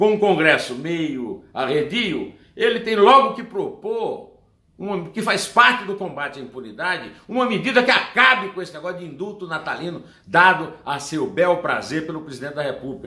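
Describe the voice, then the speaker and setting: Noticeable background noise sits behind an animated tone with lively intonation, big swings in loudness, and a moderate pace. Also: man, high pitch for a man. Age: 60s. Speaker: political commentator. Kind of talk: opinion commentary monologue.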